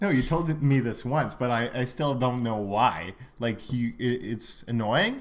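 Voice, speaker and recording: A man with a French accent at a medium pitch and a fairly slow pace. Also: ordinary pitch variation. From Quebec, Montreal. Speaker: podcast co-host. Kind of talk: casual chat. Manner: hesitant, many fillers.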